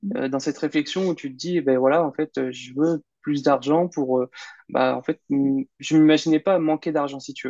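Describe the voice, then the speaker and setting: A man talks fairly slowly, his pitch fairly high and its variation ordinary. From Normandy, France (Caen). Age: 30s. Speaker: online entrepreneur and investor. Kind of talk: interview. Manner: halting, many fillers.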